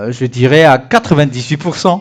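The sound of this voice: With big pitch swings and vocal fry, a man talks at a medium pitch.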